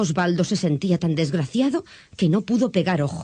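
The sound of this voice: Moving at a moderate pace, a woman speaks with a fairly low pitch, a dark, mellow tone and a slightly husky edge.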